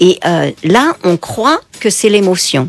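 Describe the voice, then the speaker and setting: With very wide pitch swings, a woman speaks over noticeable background noise. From France, Paris. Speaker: psychotherapist and author. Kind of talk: radio interview.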